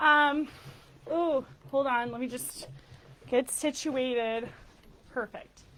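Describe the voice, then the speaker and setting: This woman speaks loudly, at a very slow pace. Her voice sits high. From Texas. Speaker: lecturer and nonprofit founder. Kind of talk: lecture. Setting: stage with live audience.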